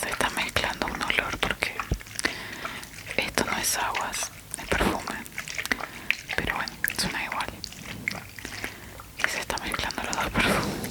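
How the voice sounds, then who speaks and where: Whispering at a moderate pace with long, frequent pauses, a woman can be heard over noticeable background noise. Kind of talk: ASMR trigger video, casual talk to camera.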